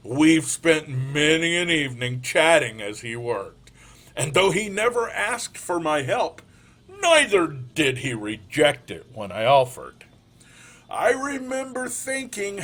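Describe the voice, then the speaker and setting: A man puts on a character voice, pitched fairly high, with very wide swings in pitch. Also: fairly slow pace. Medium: read story. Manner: soft-spoken, calm, earnest.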